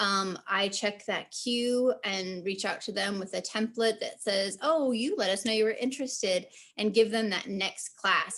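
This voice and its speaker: Pitch varies in an ordinary way here. The background stays quiet. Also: woman. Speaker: community engagement coordinator. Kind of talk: work meeting update. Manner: fast.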